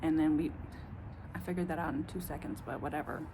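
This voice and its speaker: Audible room echo follows a woman speaking with a strong Southern US accent. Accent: strong Southern country. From US South. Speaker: vlogger. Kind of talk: casual monologue. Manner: rambling, halting.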